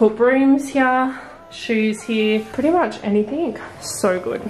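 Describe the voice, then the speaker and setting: Faint music plays in the background. The voice shows ordinary pitch variation. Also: woman. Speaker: vlogger. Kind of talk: casual vlog chat. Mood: excited, upbeat. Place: home room. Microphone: phone near.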